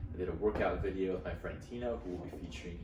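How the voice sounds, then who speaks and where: With an American accent, a man speaks in a very deep, low voice with ordinary pitch variation, over noticeable background noise and audible room echo. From Utah. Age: 20s. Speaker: podcast host. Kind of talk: casual monologue. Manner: animated.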